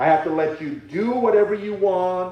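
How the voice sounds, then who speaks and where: A man's loud, high-pitched voice with a dark, mellow tone and a fairly slow pace, in audible room echo. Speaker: Sunday school teacher. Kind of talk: sermon. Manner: halting.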